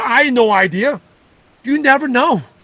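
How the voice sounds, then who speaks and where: Using a raised, projected voice, a man speaks with lively intonation. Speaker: network marketing leader and coach. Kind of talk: motivational talk. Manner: fast.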